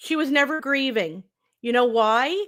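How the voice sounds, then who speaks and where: A woman's high-pitched, raised and projected voice, bright and sharp in tone, at a very slow pace on a very clean recording with a silent background. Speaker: true crime commentator. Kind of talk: opinion commentary monologue. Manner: sarcastic, emphatic.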